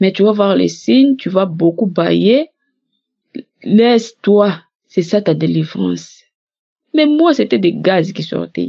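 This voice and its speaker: A woman speaks at a medium pitch with very wide pitch swings. Her pace is very slow, broken by long, frequent pauses. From DR Congo. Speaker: testimony giver. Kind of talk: testimony.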